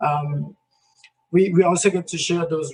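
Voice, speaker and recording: A man talks at a fairly slow pace in a Spanish accent. His high voice stays monotone and flat. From Colombia. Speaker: community health program worker. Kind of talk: presentation in online breakout session. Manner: halting, many repeated words.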